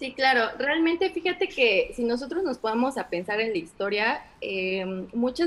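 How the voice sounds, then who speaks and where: Lively intonation marks a woman's ordinary speaking voice. She keeps a moderate pace. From Mexico, Orizaba (Veracruz). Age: 30s. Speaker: business consultant. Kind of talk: casual interview.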